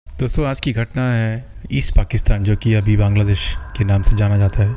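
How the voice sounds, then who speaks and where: Over noticeable background noise, a man with a fairly low voice speaks at a moderate pace with ordinary pitch variation. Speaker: horror story narrator. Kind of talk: horror story narration. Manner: conversational, casual storytelling.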